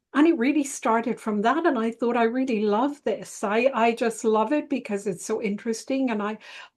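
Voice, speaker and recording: A woman's fairly high voice in an Irish accent, with ordinary pitch variation, a moderate pace, hardly any pauses and a quiet background. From Ireland. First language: Italian. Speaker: psychotherapist and relationship astrologer. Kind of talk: interview.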